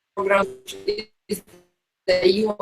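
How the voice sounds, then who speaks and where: A woman speaks at a medium pitch with fairly even intonation while music plays in the background. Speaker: architect. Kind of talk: online seminar talk. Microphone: sound cutting in and out.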